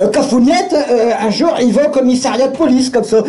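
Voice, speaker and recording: With noticeable background noise behind him, a man speaks at a moderate pace using ordinary pitch variation. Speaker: storyteller. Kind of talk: live storytelling show.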